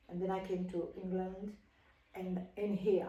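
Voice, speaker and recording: In a room with audible echo, a woman speaks at a moderate pace with a medium pitch, a dark, mellow tone and a somewhat breathy quality. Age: 70s. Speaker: opera singer and voice teacher. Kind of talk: casual interview. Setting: home.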